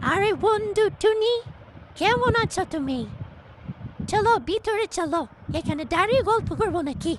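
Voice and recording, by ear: A woman performs a cartoonish character voice at an extremely high pitch. She moves at a fairly slow pace with lively intonation.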